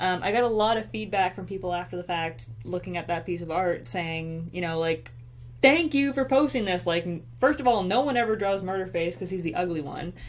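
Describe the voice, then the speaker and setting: Speaking at a fairly quick pace, a woman uses vocal fry and very wide pitch swings. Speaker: artist and web video writer. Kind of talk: casual chat. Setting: home live stream.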